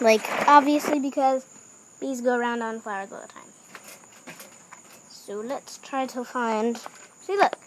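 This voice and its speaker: A woman speaks fairly slowly while noticeable background noise carries on. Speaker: YouTuber making a how-to video. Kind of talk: tutorial. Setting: outdoors in backyard. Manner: hesitant, many fillers.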